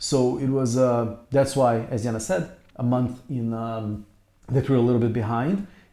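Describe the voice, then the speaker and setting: A man with a Portuguese accent, medium in pitch and dark and mellow in tone, at a moderate pace. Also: ordinary pitch variation. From Brazil. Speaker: podcast co-host, artist. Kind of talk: casual chat. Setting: rented apartment in Istanbul.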